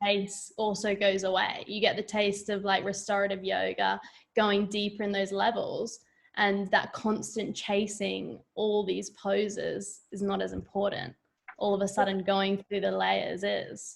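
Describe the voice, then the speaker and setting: The pace is fairly slow. She is a woman with an Australian accent. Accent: Australian, noticeable. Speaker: yoga teacher. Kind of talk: casual chat.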